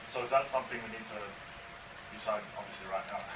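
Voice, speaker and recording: A man's voice carries audible room echo. Noticeable background noise is present too. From Australia. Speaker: chef and restaurant applicant. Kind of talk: license hearing testimony. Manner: halting, repeats words.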